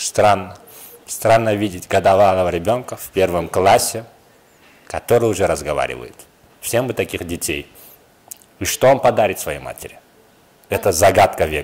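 Long, frequent pauses break up a man's moderate-paced speech, which has ordinary pitch variation and big swings in loudness. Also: fairly low pitch for a man. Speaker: interviewer host. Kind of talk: playful interview questions. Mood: jokey, teasing. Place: studio. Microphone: handheld.

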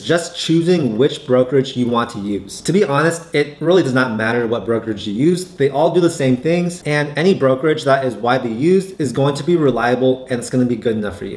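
Talking at a very fast pace with hardly any pauses, a man uses lively intonation. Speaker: finance YouTuber. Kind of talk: tutorial. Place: home room.

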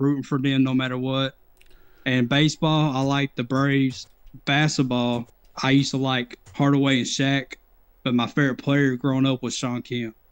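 A man with an East Tennessee accent, monotone and flat in intonation, at a moderate pace against a quiet background. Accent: US Southern (East Tennessee). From Knoxville, Tennessee. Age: 30s. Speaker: viewer joining on call; retro gaming streamer. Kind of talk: casual chat. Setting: Discord voice call. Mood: relaxed, nostalgic. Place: home room.

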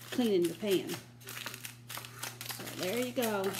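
Loud background noise fills the recording. Through it, a woman talks. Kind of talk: casual cooking tutorial. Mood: relaxed, chatty. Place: kitchen. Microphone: phone near.

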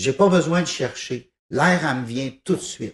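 A somewhat breathy man talks at a very slow pace. His intonation is lively. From Quebec, raised in East Broughton / Thetford Mines; Quebec. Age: 50s. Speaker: musician, piano-bar organist and composer; interviewee. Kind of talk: TV interview, casual chat. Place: studio. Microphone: handheld.

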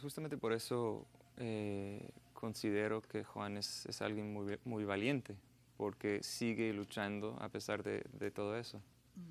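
In an English accent, a man speaks at a fairly slow pace and a fairly low pitch with fairly even intonation. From United States. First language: English (speaking Spanish). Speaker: journalist and filmmaker; journalist. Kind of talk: TV interview. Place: studio. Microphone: lapel.

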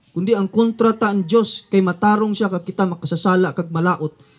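An animated man with a Western Visayas accent, at a fairly quick pace, with ordinary pitch variation. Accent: Hiligaynon (Ilonggo) accented Filipino. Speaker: street preacher. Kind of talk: street sermon, fiery preaching. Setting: outdoors, addressing a crowd in a neighborhood. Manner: animated, forceful, rhetorical questions; confrontational, warning of judgment. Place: open country. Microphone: camera far.

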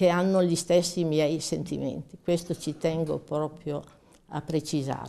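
The tone is dark and mellow. It belongs to a woman. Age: 80s+. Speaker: war veteran. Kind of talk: testimony.

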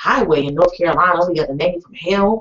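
A moderate pace and ordinary pitch variation against a quiet background. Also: woman. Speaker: radio show host. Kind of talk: radio show host chat. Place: studio.

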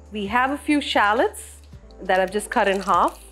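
Faint music plays in the background as the speaker goes at a fairly slow pace. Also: woman. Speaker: home cook host. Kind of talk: cooking tutorial. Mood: calm, friendly. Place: home room.

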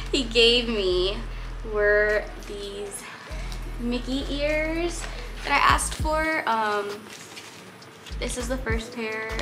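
A woman speaks with clear music playing behind her. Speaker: vlogger. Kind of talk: casual vlog chat, haul. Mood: cheerful, excited. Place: home room. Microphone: camera far.

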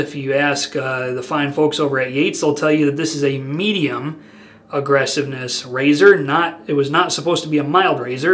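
There is noticeable background noise as a man with a fairly high pitch speaks at a moderate pace with fairly even intonation. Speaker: wet shaving video creator. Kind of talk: casual monologue. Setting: home video, stationed in Turkey. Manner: casual, talkative, opinionated.

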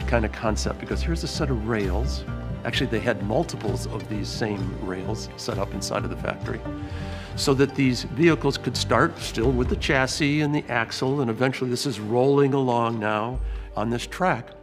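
Clear music plays in the background. A man talks over it at a moderate pace. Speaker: museum guide or historian in period costume. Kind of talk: interview answer. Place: hall.

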